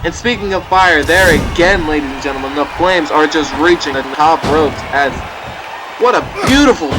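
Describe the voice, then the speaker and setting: A man's voice over noticeable background noise. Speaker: video game commentator. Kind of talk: wrestling match commentary. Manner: energetic, fast play-by-play.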